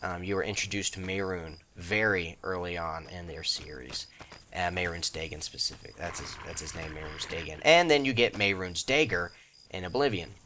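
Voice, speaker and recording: Noticeable background noise accompanies a man whose very deep, low voice moves at a fairly quick pace with ordinary pitch variation. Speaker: gaming YouTuber. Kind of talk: let's play commentary. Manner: casual, rambling with many fillers.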